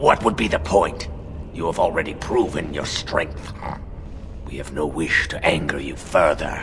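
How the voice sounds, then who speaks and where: A man performs a put-on character voice. Loud background noise fills the recording. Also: moderate pace. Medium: video game. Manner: formal, guarded.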